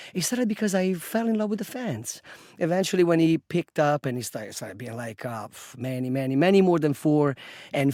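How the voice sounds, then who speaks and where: Speaking fairly quickly with lively intonation, a man uses a dark, mellow tone and a fairly high pitch. He has an Italian accent, and the recording is very clean with a silent background. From Italy, Rome. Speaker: bartender and football fan group leader. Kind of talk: podcast interview. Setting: studio. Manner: hesitant with fillers.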